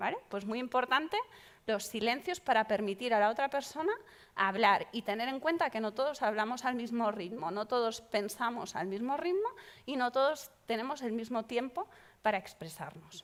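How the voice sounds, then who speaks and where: A woman's fairly high, animated voice with lively intonation at a moderate pace. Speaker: psychologist leading a workshop. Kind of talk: workshop talk.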